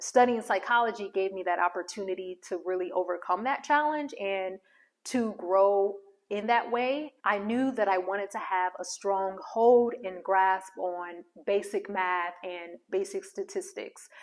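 A woman speaks at a fairly slow pace against a quiet background. Her pitch shows ordinary variation. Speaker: social worker and career coach; career coach. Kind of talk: casual vlog monologue. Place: home room. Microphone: lapel.

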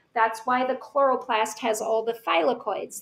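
A woman speaks at a fairly slow pace in an ordinary speaking voice, her pitch fairly high. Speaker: teacher. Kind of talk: lecture. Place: home room. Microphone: webcam.

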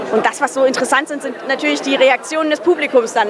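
Very fast speech in a monotone, flat intonation, with noticeable background noise. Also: woman. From Hesse, Germany. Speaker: actress; film actress. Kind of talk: casual interview. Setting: cinema premiere event. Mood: cheerful, reflective. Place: hall. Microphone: handheld.

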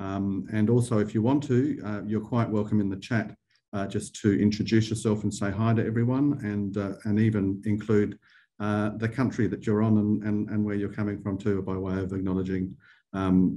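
A man with an Australian accent speaks at a fairly low pitch in a dark, mellow tone. His pace is moderate and his intonation fairly even. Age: 50s. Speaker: arts funding director and webinar host; webinar host. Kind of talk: webinar Q&A. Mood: friendly, welcoming. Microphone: video call.

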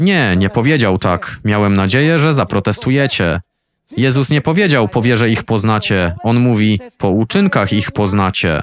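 Heard on a very clean recording with a silent background, a man in a plain, everyday voice speaks at a moderate pace and medium pitch, with lively intonation and very even loudness. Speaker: voice-over reader of a translated sermon. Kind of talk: reading aloud a translated sermon.

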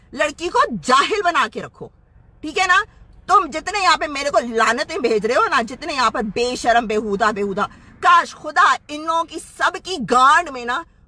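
Using a raised, projected voice, a woman speaks at a fairly slow pace, with a dry sound with no echo. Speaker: social media commentator. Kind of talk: angry rant to camera. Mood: angry, scornful. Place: car. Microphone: phone near.

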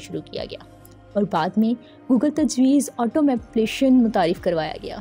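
Over music in the background, a woman speaks at a high pitch with lively intonation. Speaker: voice actor. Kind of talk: documentary narration.

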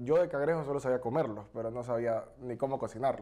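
With a dark, mellow tone, a man speaks at a very fast pace. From Ecuador. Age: 30s. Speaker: politician and restaurant entrepreneur; politician. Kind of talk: interview. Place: studio. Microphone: lapel.

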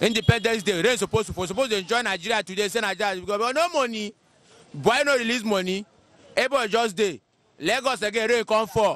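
The sound is dry with no echo as a man speaks at high pitch with ordinary pitch variation. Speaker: interviewee. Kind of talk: interview answer. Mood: complaining, frustrated about economy. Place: street. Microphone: handheld.

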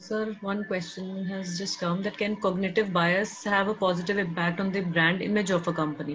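A woman talks at a moderate pace with hardly any pauses, her intonation monotone and flat. Light background noise can be heard. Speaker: webinar moderator. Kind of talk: webinar Q&A moderation. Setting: video call. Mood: polite, calm. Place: home room. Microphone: earbuds.

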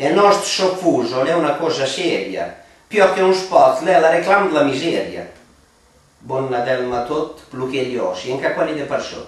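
A man talks at a moderate pace with ordinary pitch variation. Audible room echo is present. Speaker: dialect poet. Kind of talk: poetry reading in Romagnolo dialect. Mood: wry, ironic Christmas satire. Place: home room. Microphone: camera far.

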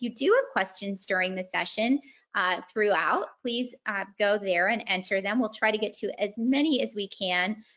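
Over a quiet background, a woman talks at a moderate pace with ordinary pitch variation. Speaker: webinar host. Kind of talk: housekeeping announcement. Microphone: video call.

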